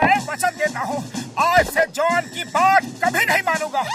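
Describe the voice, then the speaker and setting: A man's cartoonish character voice at a moderate pace over clear music in the background. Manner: naive, earnest.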